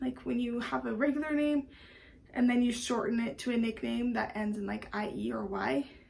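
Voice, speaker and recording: Her pitch is fairly high, and the woman keeps a moderate pace. Noticeable background noise is present. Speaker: vlogger, stay-at-home mom. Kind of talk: casual vlog talk to camera.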